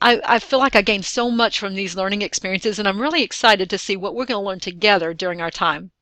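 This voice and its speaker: A woman speaks in a strong Southern US accent at a medium pitch. Her tone is bright and sharp, with ordinary pitch variation. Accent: strong Southern drawl. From Texas. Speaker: online course facilitator, distance education director. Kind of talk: recorded course welcome video.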